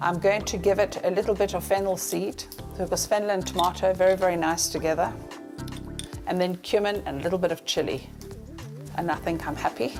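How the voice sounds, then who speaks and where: Over music in the background, a woman at a medium pitch talks at a fairly quick pace with fairly even intonation, leaving long, frequent pauses. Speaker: celebrity chef and TV presenter. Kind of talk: cooking demonstration to camera. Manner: cheerful, friendly, chatty.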